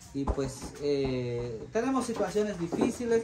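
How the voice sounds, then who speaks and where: Loud background noise sits behind a man speaking. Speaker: charity vlogger. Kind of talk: casual vlog chat to viewers. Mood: earnest, concerned. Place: home room.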